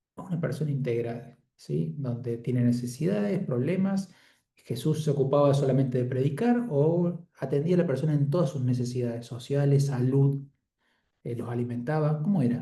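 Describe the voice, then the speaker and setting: A man's fairly high voice with a dark, mellow tone, somewhat breathy, at a moderate pace with ordinary pitch variation, in audible room echo. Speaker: Bible study leader. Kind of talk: group Bible study facilitation.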